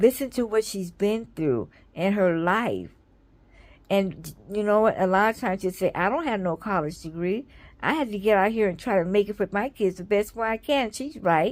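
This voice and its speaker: At a medium pitch with ordinary pitch variation, a woman talks at a moderate pace on a very clean recording with a silent background. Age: 60s. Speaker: vlogger and children's book author. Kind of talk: casual vlog commentary.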